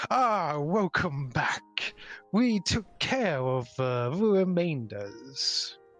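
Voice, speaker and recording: A man's put-on character voice, fairly high in pitch, at a very slow pace with very wide pitch swings and very even loudness, over faint music in the background. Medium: actual play. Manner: stoic, measured.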